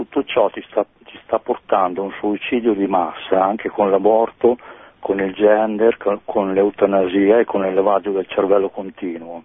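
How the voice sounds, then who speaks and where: With a plain, everyday voice, a man speaks at a moderate pace, fairly low in pitch and fairly even in intonation. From Pavia, Lombardy. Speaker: caller. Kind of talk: phone-in comment. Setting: phone call.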